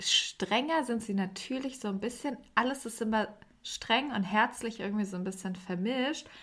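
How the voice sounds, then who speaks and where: On a very clean recording with a silent background, a woman speaks fairly slowly in a plain, everyday voice. Her pitch is fairly high, with ordinary pitch variation. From Germany. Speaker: podcast host and TV editor. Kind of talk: casual chat.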